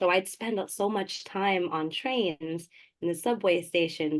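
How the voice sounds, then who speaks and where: A woman with a plain, everyday voice talks at a fairly slow pace and medium pitch, with ordinary pitch variation. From New York City, Queens (born Manila, moved at four). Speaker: poet and community organizer. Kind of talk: interview.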